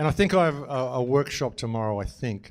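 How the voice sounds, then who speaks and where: Lively intonation comes through in a very clean recording with a silent background. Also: man. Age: 60s. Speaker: conference speaker. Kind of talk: conference talk.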